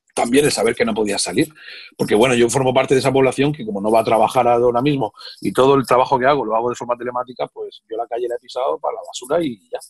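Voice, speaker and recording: Fairly even intonation at a very fast pace against a quiet background. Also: man. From Murcia, Spain. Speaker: comedian. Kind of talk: interview answer. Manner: casual, humorous. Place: home room. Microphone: video call.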